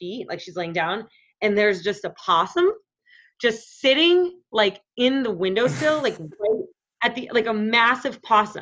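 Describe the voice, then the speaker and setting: An unremarkable speaking voice with lively intonation, delivered at a moderate pace. The background is quiet. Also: woman. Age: 30s. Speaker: podcast guest. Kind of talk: casual chat.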